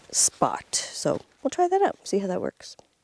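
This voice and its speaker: A woman speaks in a soft-spoken way. The sound is dry and close, with no echo. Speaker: off-grid cabin vlogger. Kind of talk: casual vlog talk.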